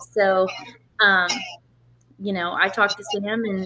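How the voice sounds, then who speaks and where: A woman speaks at a moderate pace and medium pitch, with noticeable background noise behind her. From Oklahoma, Tulsa. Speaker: drag racer. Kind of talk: interview. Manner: soft-spoken.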